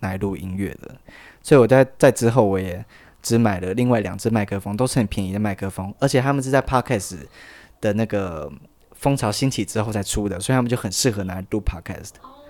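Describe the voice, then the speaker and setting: On a very clean recording with a silent background, a man rattles along at a very fast pace in a fairly low voice with ordinary pitch variation. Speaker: podcast host. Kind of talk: casual chat. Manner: halting, repeats words.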